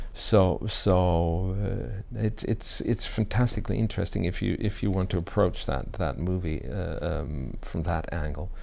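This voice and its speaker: There is vocal fry in this man's very deep, low voice, which shows ordinary pitch variation. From Germany. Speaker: actor. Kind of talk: interview answer.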